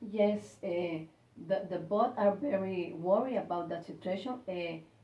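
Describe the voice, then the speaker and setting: Heard with audible room echo and noticeable background noise, a woman speaks in a Spanish accent with ordinary pitch variation. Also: medium pitch for a woman, fairly slow pace. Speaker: university staff member. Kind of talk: English speaking practice interview. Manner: halting.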